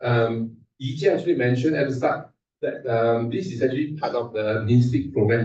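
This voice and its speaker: A somewhat breathy man talks at a fairly quick pace and medium pitch, his tone dark and mellow, with ordinary pitch variation. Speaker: invited speaker at research workshop. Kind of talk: technical conference talk. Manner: fast.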